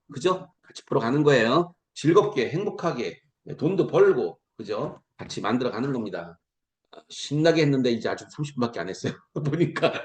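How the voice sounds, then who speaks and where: With animated delivery and lively intonation, a man speaks in a fairly high pitch, his voice showing vocal fry and big swings in loudness. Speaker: lecturer at online business meeting. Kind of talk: promotional lecture. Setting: video call. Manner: fast.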